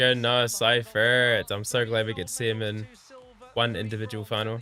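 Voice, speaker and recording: With music in the background, a man of medium pitch speaks with a New Zealand accent. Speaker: gymnastics commentator and streamer. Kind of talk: live watch-along commentary. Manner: mumbling.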